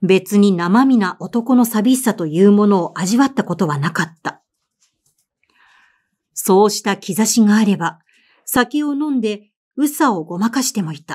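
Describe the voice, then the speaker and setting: A woman of medium pitch talks at a fairly slow pace with lively intonation. Hers is an unremarkable speaking voice. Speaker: voice actor and narrator. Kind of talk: audiobook literary reading.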